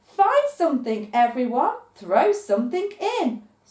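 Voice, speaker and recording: Using a put-on character voice, a woman speaks high and fairly slowly. Her pitch swings very widely. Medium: read story.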